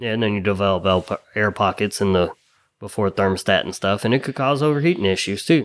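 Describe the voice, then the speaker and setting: On a very clean recording with a silent background, an unremarkable speaking voice with an American accent moves at a fairly quick pace with ordinary pitch variation. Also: man, fairly low pitch for a man. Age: 30s. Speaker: auto mechanic. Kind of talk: casual chat.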